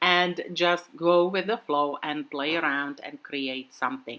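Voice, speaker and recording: In a non-native accent, the speaker uses a relaxed yet bright, sharp tone at a fairly slow pace. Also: woman. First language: not English. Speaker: craft video creator. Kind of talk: tutorial. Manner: casual, relaxed with fillers.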